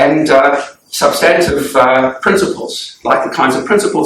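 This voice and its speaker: Speaking with a South African accent, a man talks at a moderate pace in a room with audible echo. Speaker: law professor. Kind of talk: lecture. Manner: hesitant, many fillers.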